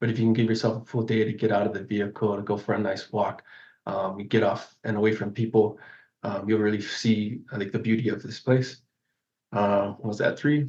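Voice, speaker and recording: A man's fairly low, somewhat breathy voice in a flat monotone, at a moderate pace. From Hawaii, Big Island (Kona). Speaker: park ranger. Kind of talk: interview. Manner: halting.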